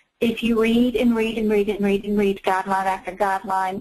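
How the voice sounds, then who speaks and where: A woman speaks with a Southern US accent. Her voice is fairly high, with fairly even intonation. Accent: Southern US, noticeable. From North Carolina. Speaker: medical coding instructor. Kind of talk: webinar interview.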